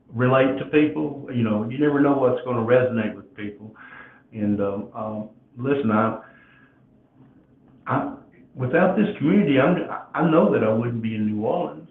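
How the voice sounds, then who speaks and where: A man talks at a medium pitch and a moderate pace, with lively intonation and big swings in loudness. His long, frequent pauses carry some audible room echo. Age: 60s. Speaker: podcast host. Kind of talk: casual chat. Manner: halting.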